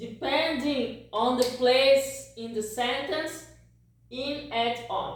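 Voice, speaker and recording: A woman with a Portuguese accent speaks at a very slow pace in a high voice, with long, frequent pauses. Her loudness swings widely, and there is audible room echo. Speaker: language teacher. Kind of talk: tutorial.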